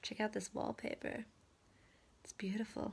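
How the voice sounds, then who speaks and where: A woman speaks softly. Her pace is moderate. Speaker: real estate agent. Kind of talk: casual vlog monologue. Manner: soft-spoken.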